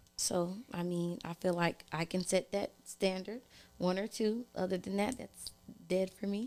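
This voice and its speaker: A woman with a plain, everyday voice talks at a fairly slow pace, her medium pitch kept to fairly even intonation. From California (Oakland). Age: 30s. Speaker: podcast guest, single mom. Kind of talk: casual chat.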